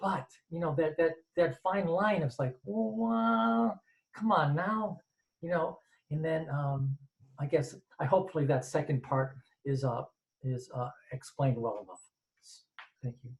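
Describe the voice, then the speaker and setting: A man speaks at a fairly high pitch with lively intonation and a somewhat breathy quality. His pace is fairly slow, with long, frequent pauses. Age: 60s. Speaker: audience member asking a question. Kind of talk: Q&A question from audience. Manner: halting, many repetitions and false starts.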